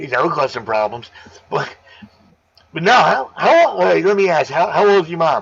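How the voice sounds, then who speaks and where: Loud and at a moderate pace, a man with a fairly high pitch makes very wide pitch swings and leaves long, frequent pauses. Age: 50s. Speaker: aquarium live streamer. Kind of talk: casual chat. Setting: live stream.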